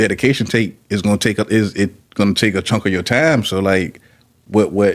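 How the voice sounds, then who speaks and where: A man with an American accent and an unremarkable speaking voice talks at a fairly quick pace, fairly low in pitch, with ordinary pitch variation and very even loudness. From Petersburg, Virginia. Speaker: podcast host. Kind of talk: casual interview.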